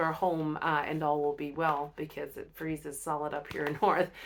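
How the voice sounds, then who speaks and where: A woman speaks with a very deep, low pitch. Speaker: inspirational vlogger. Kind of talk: casual vlog monologue. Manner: fast; halting, many fillers.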